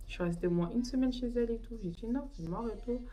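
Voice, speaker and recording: Through noticeable background noise and audible room echo, a woman speaks at medium pitch. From Paris region, France. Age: 20s. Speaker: beauty vlogger. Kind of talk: casual storytime chat while doing makeup. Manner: animated, casual slang.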